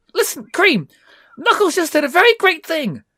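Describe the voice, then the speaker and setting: Using a squeaky, put-on character voice, a man speaks at a moderate pace. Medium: read story. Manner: gentle, earnest.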